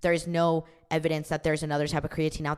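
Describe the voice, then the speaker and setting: A woman speaks in a very deep, low pitch with an animated tone. The recording is very clean, with a silent background. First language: not English. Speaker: podcast host and fitness coach. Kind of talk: educational podcast monologue. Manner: casual, animated.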